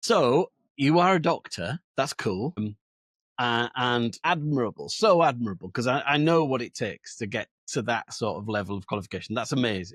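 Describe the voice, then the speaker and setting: Speaking with a Yorkshire accent, a man uses lively intonation at a medium pitch, recorded very cleanly with a silent background and a dry, close sound with no echo. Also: moderate pace. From Yorkshire, northern England. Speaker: podcast host. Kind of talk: podcast interview.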